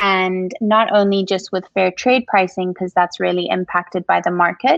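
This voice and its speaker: At a moderate pace, a woman with a Zimbabwean accent speaks at a medium pitch with fairly even intonation. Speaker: coffee shop owner. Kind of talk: interview.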